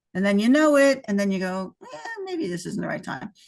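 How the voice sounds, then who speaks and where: A woman with a plain, everyday voice talks fairly quickly at a medium pitch. The background is quiet. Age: 60s. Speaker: entrepreneur who sold her business. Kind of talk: casual interview.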